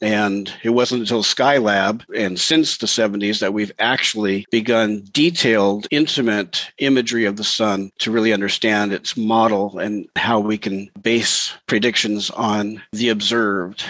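Using a normal speaking voice, a man talks fairly slowly at a fairly low pitch with fairly even intonation and hardly any pauses. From Montana, US Pacific Northwest. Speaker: ham radio operator and space weather columnist. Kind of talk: interview.

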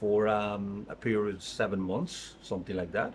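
A man's fairly low voice with a Spanish accent, monotone and flat, at a moderate pace. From Mexico, Tabasco. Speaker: restaurant industry executive. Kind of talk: interview. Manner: halting.

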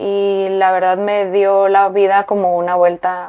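A woman talks at medium pitch. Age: 30s. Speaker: fashion designer. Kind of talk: interview.

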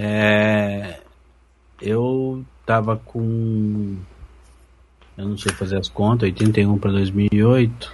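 The speech moves at a very slow pace, broken by long, frequent pauses. The intonation is monotone and flat. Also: man, fairly low pitch for a man. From Londrina, Paraná, Brazil. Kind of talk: casual group chat.

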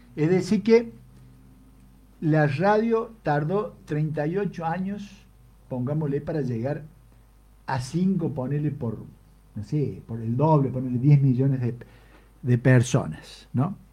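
At a very slow pace, a man speaks with a fairly high pitch, a dark, mellow tone and a somewhat breathy quality. His intonation is lively, and he takes long, frequent pauses. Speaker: radio host. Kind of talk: casual chat.

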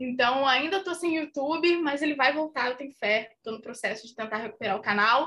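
A woman's raised, projected voice, bright and sharp in tone, with ordinary pitch variation. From Minas Gerais, Brazil. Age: 20s. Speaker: actress and content creator. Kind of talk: casual chat.

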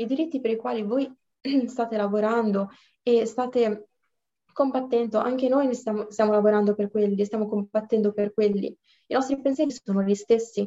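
Speaking at a moderate pace with long, frequent pauses, a woman with a fairly high pitch and a dark, mellow tone comes across in a dry, close sound with no echo. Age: 20s. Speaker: law student. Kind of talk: casual chat.

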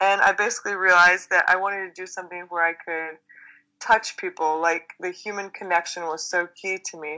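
A woman's medium-pitched voice with an American accent, bright and sharp in tone, fairly quick, with flat, monotone intonation, big swings in loudness and a quiet background. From Texas. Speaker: chiropractor. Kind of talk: interview.

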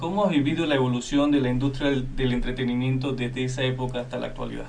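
A man with fairly high pitch, audible room echo and noticeable background noise. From Venezuela. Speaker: radio co-host. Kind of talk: radio interview.

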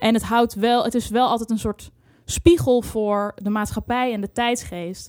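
Using a normal speaking voice, a woman talks at a fairly high pitch and a fairly slow pace with fairly even intonation, in a dry, close sound with no echo. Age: 20s. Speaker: music journalist and radio producer. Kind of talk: casual chat. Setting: studio.

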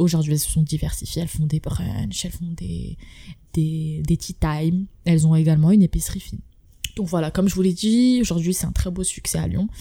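A woman speaks at a fairly quick pace in a very deep, low pitch with ordinary pitch variation. Her tone is dark and mellow, and somewhat breathy. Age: 20s. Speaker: podcast host. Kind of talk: casual interview.

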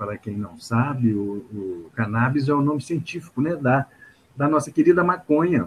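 Somewhat breathy and medium in pitch, a man speaks at a moderate pace with lively intonation. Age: 50s. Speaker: psychologist and activist. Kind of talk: interview. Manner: hesitant, many fillers.

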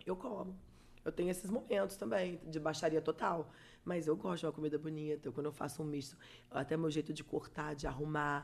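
This woman's voice is very deep and low, with ordinary pitch variation. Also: fairly quick pace. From Espírito Santo, Brazil (Vitória). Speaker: digital influencer and makeup artist. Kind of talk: casual interview chat.

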